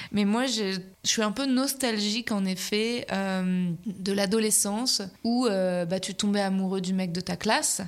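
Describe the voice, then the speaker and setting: With fairly even intonation, a woman talks at a fairly slow pace and a medium pitch. She has an ordinary speaking voice. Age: 30s. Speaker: comedian and podcaster. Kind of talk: casual interview.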